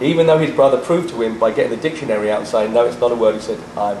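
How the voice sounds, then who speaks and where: A man talking at a very fast pace, with audible room echo and noticeable background noise. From England. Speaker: rock musician. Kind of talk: interview. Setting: on location in a jacuzzi.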